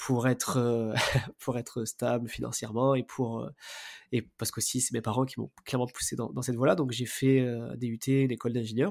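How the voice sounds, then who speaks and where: Talking at a fairly quick pace, a man keeps a medium pitch with monotone, flat intonation. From southern France, near Marseille. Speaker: podcast host, real estate investor. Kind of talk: interview. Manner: hesitant, many fillers.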